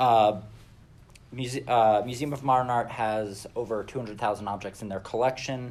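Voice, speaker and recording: This man has an ordinary speaking voice, fairly low in pitch, moving at a moderate pace with fairly even intonation. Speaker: museum imaging production manager. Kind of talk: conference presentation.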